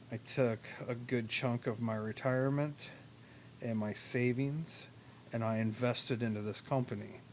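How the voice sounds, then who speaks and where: Intonation here is fairly even. The delivery is fairly slow. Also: man. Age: 40s. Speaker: lawn care business owner and vlogger. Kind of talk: casual vlog monologue. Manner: casual, filler-heavy.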